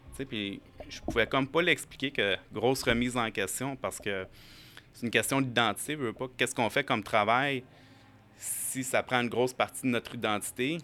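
The tone is bright and sharp, with ordinary pitch variation. The pace is moderate. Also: man, medium pitch for a man. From Quebec, Montreal. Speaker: acupuncturist and firefighter. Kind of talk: casual interview.

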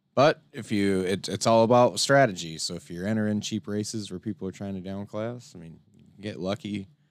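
Moving at a fairly quick pace, a man with a fairly low pitch and ordinary pitch variation shows big swings in loudness, an unremarkable speaking voice. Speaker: podcast co-host and race caller. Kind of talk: casual banter with live race commentary. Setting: online show, livestream.

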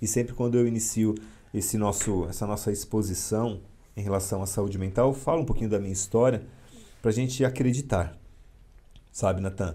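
Speaking at a fairly quick pace, a man leaves long, frequent pauses between phrases. His somewhat breathy voice sits at a fairly low pitch with ordinary pitch variation. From São Paulo, east zone (São Miguel Paulista). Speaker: psychologist and military police officer. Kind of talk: interview on a live podcast.

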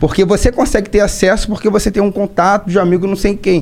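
A high-pitched man speaks with a Rio de Janeiro accent. His pace is fairly quick. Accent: Carioca Brazilian Portuguese. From Rio de Janeiro, Brazil. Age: 20s. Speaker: city councilman and police officer. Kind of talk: casual interview chat. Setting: studio.

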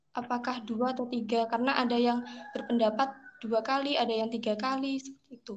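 A woman speaks at a very fast pace in a high pitch. Her intonation is monotone and flat. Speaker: university student. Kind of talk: Q&A question.

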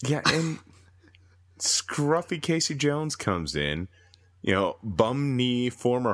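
A man speaks with an American accent. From Minnesota, US. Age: 30s. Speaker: podcast editor, guest. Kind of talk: casual chat about movies.

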